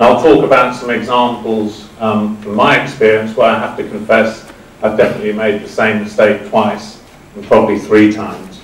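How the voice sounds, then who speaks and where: In a British accent, a man talks at a moderate pace with a fairly low pitch. There is audible room echo and noticeable background noise. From UK. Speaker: business executive. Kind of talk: lecture. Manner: halting.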